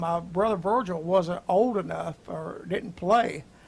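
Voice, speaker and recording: A man with an American accent talks at a high pitch with ordinary pitch variation. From US South, Atlanta, Georgia. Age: 70s. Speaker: gospel musician. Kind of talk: casual chat. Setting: live stream. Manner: halting.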